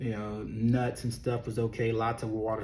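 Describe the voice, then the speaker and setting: Somewhat breathy speech at a moderate pace. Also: man. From Texas (raised in Beaumont, born Louisiana). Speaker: weight loss coach and former worship pastor. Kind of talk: casual vlog monologue. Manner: animated.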